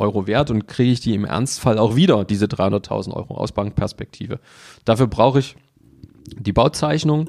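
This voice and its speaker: Medium in pitch with a dark, mellow tone, a man's voice moves at a moderate pace. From Saxony, Germany (Leipzig). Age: 40s. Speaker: mortgage broker. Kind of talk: interview.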